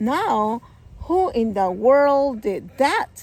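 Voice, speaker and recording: A woman's put-on character voice, high-pitched, with very wide pitch swings. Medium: read story.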